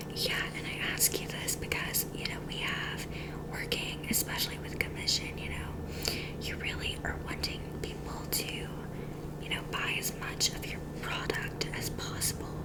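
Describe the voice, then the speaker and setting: A woman whispers at a fairly slow pace. Noticeable background noise runs behind her. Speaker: ASMR creator. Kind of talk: ASMR roleplay, job interviewer asking questions. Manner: whispered, soft.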